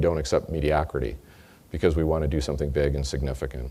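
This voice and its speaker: Very fast and very deep, a man speaks with an American accent, a dark, mellow tone and vocal fry. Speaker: company executive. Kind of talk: sales kickoff speech.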